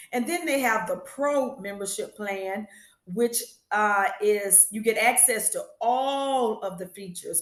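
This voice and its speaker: This woman has a plain, everyday voice. Her pitch is fairly high. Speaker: business owner and small business educator. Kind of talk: talking-head review tutorial.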